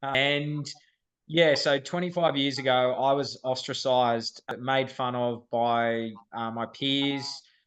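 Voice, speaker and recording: Over a quiet background, a man with an Australian accent talks at a medium pitch and a very slow pace, his intonation fairly even. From Australia, Sydney. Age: 30s. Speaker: firefighter. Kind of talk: podcast interview.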